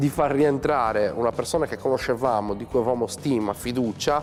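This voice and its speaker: With music in the background, a man talks at a very fast pace, his medium pitch showing ordinary variation. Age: 40s. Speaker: web TV company president. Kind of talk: interview testimony. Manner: hesitant, many fillers.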